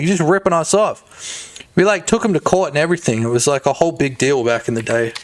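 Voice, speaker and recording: A man with an Australian accent speaks with lively intonation at a moderate pace. There is noticeable background noise. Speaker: game developer streamer. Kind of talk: live stream commentary. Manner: animated; loud.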